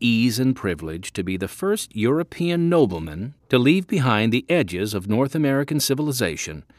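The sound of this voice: The voice reads in an unforced way.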